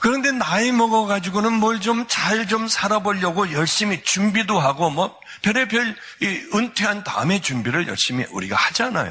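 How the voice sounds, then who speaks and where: Over noticeable background noise, a raised, projected voice goes at a moderate pace in an animated tone, with lively intonation and very even loudness. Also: man, high pitch for a man. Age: 60s. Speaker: pastor. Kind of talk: sermon.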